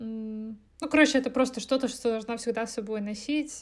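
At a moderate pace, a woman speaks with a fairly high voice. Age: 20s. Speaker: podcast co-host. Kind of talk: casual chat.

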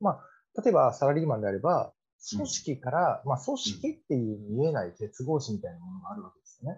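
A man's fairly high voice carries vocal fry. His pitch swings very widely. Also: fairly quick pace, big swings in loudness. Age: 30s. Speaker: podcast co-host, salaried worker and private investor. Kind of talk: casual chat.

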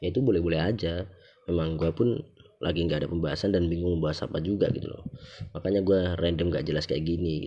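This man talks at a very fast pace with a very deep, low pitch. His intonation is fairly even, and he speaks with a Javanese accent. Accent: Javanese-accented Indonesian (medok). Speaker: podcast host. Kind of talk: casual solo monologue. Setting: recorded late at night.

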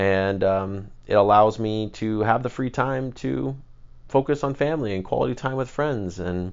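A man with a medium pitch speaks at a moderate pace, with lively intonation. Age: 20s. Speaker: podcast host. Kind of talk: personal monologue. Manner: hesitant, many filler words.

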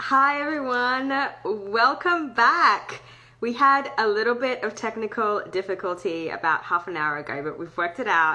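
A woman with an Australian accent has a fairly high pitch and a bright, sharp tone. Her voice makes very wide pitch swings. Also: moderate pace. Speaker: podcast host. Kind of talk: casual interview.

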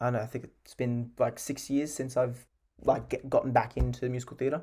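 This man talks at a fairly quick pace with an Australian accent, his medium-pitched voice dark and mellow in tone and fairly even in intonation. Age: 20s. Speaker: musical theatre actor. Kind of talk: interview.

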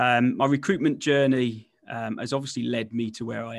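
Against a silent background on a very clean recording, the speaker talks at a moderate pace with fairly even intonation. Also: man. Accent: West Midlands. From West Midlands, England. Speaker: recruitment entrepreneur and author. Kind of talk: casual interview.

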